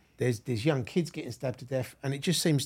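The recording is very clean, with a silent background. A man with a London accent sounds somewhat breathy, and his pitch varies in an ordinary way. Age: 50s. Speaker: podcast host. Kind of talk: casual interview chat. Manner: halting, many fillers.

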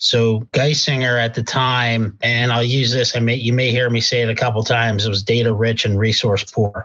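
The speaker has an American accent and a flat, monotone intonation at a moderate pace. Loudness is very even, with hardly any pauses. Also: man, medium pitch for a man. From Pennsylvania. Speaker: healthcare executive. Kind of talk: interview.

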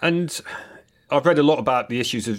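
Here a man speaks with an English accent. His pace is fairly quick. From Britain. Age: middle-aged. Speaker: podcast host, professor of acoustic engineering. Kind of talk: interview. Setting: remote recording.

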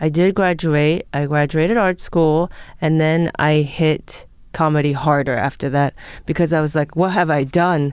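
With a Los Angeles accent, a woman speaks at a moderate pace in a very deep, low pitch, with fairly even intonation and very even loudness on a very clean recording with a silent background. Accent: American (Los Angeles). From Japan (Tokyo), moved to Los Angeles as a child. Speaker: comedian. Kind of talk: casual interview chat.

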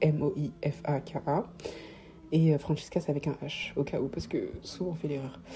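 The speech moves at a fairly slow pace with vocal fry running through it. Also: woman. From Paris, France. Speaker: podcast host. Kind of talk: solo podcast monologue. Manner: halting.

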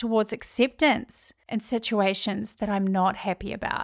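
The speaker talks at a very slow pace with a New Zealand accent, in a dry, close sound with no echo and a very clean recording with a silent background. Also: woman. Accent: New Zealand (Kiwi). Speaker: podcast host. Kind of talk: solo podcast monologue.

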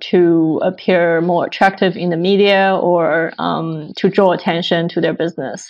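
An unremarkable speaking voice from a woman, medium in pitch, fairly slow and with fairly even intonation. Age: 20s. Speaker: fintech startup co-founder. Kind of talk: interview.

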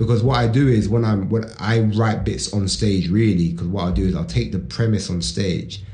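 Speaking at a moderate pace with a British accent, a man uses lively intonation at a fairly low pitch. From England. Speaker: stand-up comedian. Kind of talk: casual chat.

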